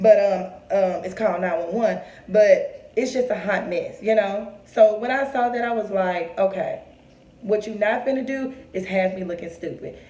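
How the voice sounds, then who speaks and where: Her pitch fairly high, a woman speaks at a moderate pace with ordinary pitch variation and big swings in loudness. Room echo is audible over noticeable background noise. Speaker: vlogger. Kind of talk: personal storytelling to camera. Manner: strained, forcing words out.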